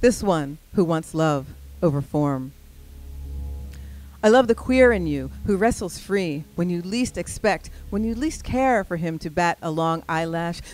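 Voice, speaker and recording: Over music in the background, a woman speaks at a fairly slow pace. Her pitch is fairly low and her intonation lively. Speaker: spoken word poet. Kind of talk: spoken word poetry performance. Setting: live stage.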